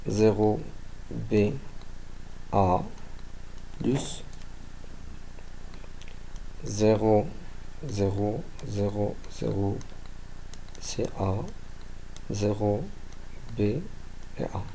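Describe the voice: Speaking at a very slow pace with long, frequent pauses, a man with a fairly low pitch and vocal fry keeps his pitch movement small.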